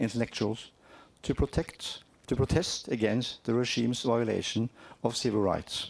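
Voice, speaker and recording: Speaking with a strong Norwegian accent, a man with a medium pitch and vocal fry keeps a moderate pace. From Norway. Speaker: cultural heritage organisation representative. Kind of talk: conference presentation. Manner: halting.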